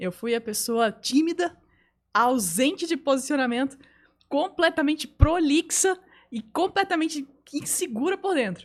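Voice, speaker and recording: Speaking at a fairly slow pace, a woman uses a high pitch and lively intonation. Her speech has long, frequent pauses. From Belém, northern Brazil (born São Paulo state). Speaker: communication coach and photographer. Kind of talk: podcast interview.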